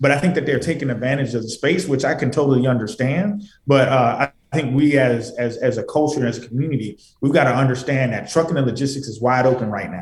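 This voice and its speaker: Somewhat breathy delivery at a very fast pace, pitch varying in an ordinary way. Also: man, medium pitch for a man. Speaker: trucking company founder. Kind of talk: radio interview, conversational business talk. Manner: earnest, fluent, motivational.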